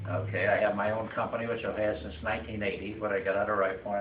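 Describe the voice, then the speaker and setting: A man talking very fast in a fairly low, flat monotone, with audible room echo and noticeable background noise. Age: 80s+. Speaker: retiree giving farewell speech. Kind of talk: farewell speech. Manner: halting, many fillers.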